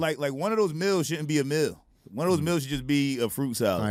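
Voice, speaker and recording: A man's fairly high voice with a Philadelphia accent, fairly quick in pace, with lively intonation. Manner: casual, slangy.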